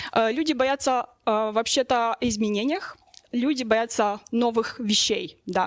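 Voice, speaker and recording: At a fairly slow pace, a woman with a fairly high pitch speaks in a dry, close sound with no echo. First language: not Russian (speaking Russian). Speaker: sociologist. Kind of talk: panel discussion. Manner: halting, many fillers.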